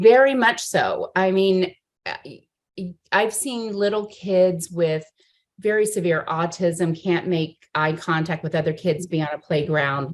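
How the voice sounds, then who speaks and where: A woman with a plain, everyday voice talks at a fairly slow pace, her fairly low pitch showing ordinary pitch variation. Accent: American. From Miami, Florida. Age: middle-aged. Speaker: presenter. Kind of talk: casual chat.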